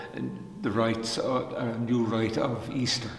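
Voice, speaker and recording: A man speaks at medium pitch. Audible room echo and noticeable background noise surround his voice. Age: 80s. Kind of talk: spiritual reflection talk. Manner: halting, many fillers.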